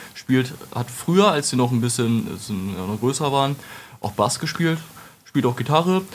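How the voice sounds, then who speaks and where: Over noticeable background noise, a man with a medium pitch speaks at a moderate pace with lively intonation. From Lower Saxony, Germany (Wolfenbüttel). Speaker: metal singer and retail worker. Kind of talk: casual interview.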